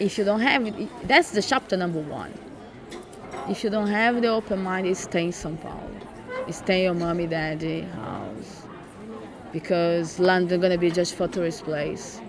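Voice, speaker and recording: A woman with a Brazilian accent speaks at a moderate pace in a fairly low pitch. Her pitch varies in an ordinary way, and crowd noise is heard in the background. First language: Portuguese. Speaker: migrant living in London. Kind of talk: casual interview story. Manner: laughs often, conversational.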